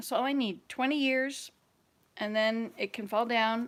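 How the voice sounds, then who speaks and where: An American-accented woman speaks at a fairly slow pace with a high pitch and ordinary pitch variation. The recording is very clean, with a silent background. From US South, Georgia. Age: 60s. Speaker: vlogger. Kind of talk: casual chat.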